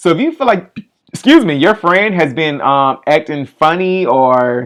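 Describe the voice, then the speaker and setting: A man's high-pitched voice with lively intonation. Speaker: livestream advice host. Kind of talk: casual livestream chat and advice. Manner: fast.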